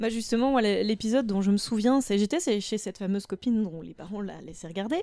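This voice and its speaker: Speaking at a fairly quick pace with hardly any pauses, a woman uses a medium-pitched voice with a dark, mellow tone. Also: ordinary pitch variation, big swings in loudness. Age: 30s. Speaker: podcast guest, practises historical martial arts. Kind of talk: casual chat.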